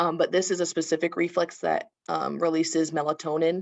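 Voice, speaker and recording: This woman's voice is fairly low in pitch. It carries vocal fry. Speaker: occupational therapist. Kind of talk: webinar presentation. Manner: fast.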